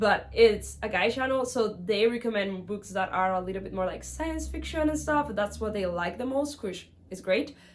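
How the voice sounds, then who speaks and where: A woman with a medium pitch talks at a moderate pace with hardly any pauses. Her intonation is lively, with vocal fry. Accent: Spanish. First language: Spanish. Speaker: book vlogger. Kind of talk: casual vlog monologue. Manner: animated.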